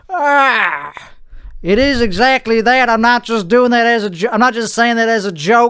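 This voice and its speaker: At a moderate pace, a man with a Texan accent speaks at a high pitch with ordinary pitch variation. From Central Texas. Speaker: podcast host. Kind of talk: casual solo podcast chat. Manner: rambling, self-correcting.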